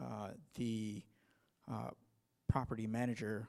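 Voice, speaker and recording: A man's fairly low, dark, mellow voice with ordinary pitch variation. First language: not English. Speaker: audience member asking a question. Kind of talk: workshop Q&A. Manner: halting, hesitant.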